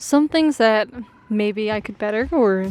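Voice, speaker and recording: A fairly high-pitched woman with an American accent at a fairly slow pace, with noticeable background noise. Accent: Americanized voice, self-described. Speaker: amateur cyclist vlogger. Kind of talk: casual vlog reflection. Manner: casual, filler-heavy.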